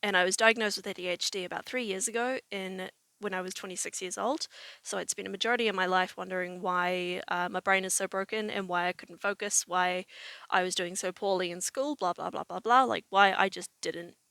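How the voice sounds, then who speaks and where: In a very clean, dry, close recording with a silent background and no echo, a woman with a New Zealand accent talks at a fairly quick pace, medium in pitch, with fairly even intonation. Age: 20s. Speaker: vlogger. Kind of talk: personal vlog monologue. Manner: casual, with many fillers.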